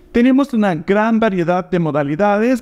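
The intonation is lively. The background is quiet. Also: man. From Argentina. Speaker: language teacher and platform co-founder; language teacher. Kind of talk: promotional invitation video. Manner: direct. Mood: warm, smiling, upbeat. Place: home room. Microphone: lapel.

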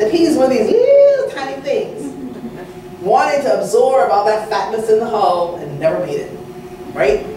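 A woman with an American accent at a moderate pace, with light background noise and audible room echo. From Texas. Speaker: culinary historian. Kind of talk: lecture. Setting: stage with audience, PA system. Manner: loud. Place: hall.

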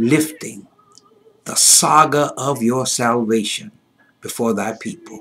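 The man's delivery is very slow. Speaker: pastor. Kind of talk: fervent closing prayer and benediction. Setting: virtual online service. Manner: rhythmic, repetitive preacher cadence; rising fervor building to a climactic benediction. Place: home room. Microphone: webcam.

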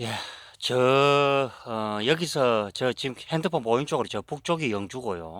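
A man at medium pitch, lively in intonation and fairly slow in pace, on a very clean recording with a silent background. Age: 50s. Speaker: herb forager and small channel host. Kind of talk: casual vlog monologue. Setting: outdoors on a mountain. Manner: halting, many fillers.

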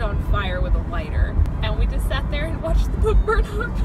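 A woman at a moderate pace, dry sound with no echo, loud music in the background. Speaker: vlogger. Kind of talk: casual vlog chat. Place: car. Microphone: phone near.

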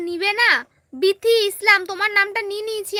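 A woman uses a raised, projected voice, with a dry, close sound and no echo. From West Bengal, India (Malda). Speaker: vlogger. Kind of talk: live stream reading viewer comments.

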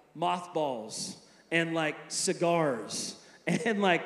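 Audible room echo around a man speaking. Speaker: preacher. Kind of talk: sermon. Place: hall. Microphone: handheld.

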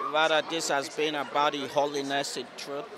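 With a slight Nigerian accent, a man speaks in a fairly high voice, the sound dry with no echo and noticeable background noise behind him. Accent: faint Nigerian. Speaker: forensic doctor. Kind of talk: interview answer. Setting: outdoors. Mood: earnest, reflective. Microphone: handheld.

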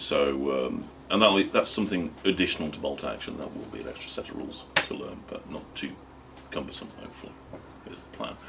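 Light background noise sits behind a man. He speaks at a moderate pace. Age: 50s. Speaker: game designer. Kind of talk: audience Q&A seminar. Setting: stage with audience. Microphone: studio mic.

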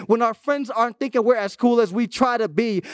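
An animated man talks at a fairly quick pace with an extremely high pitch and ordinary pitch variation. The sound is dry with no echo over a quiet background. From Florida. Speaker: youth pastor. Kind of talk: sermon. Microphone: handheld.

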